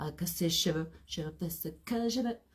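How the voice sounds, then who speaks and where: A woman with a fairly low-pitched voice speaks over noticeable background noise. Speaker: holistic coach. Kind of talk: live stream talk. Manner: hesitant, many fillers.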